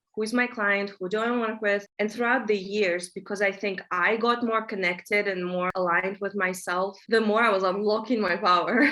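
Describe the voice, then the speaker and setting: A woman with a Russian accent talks at a moderate pace and a medium pitch, hardly pausing. Her intonation stays fairly even. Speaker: manifestation coach. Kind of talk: interview conversation.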